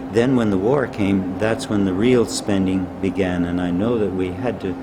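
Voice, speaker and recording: With a fairly low pitch, a man speaks at a moderate pace amid audible room echo and noticeable background noise. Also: ordinary pitch variation. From northern Alberta, Canada. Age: 80s+. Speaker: retired monetary reform advocate. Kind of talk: interview. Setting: conference.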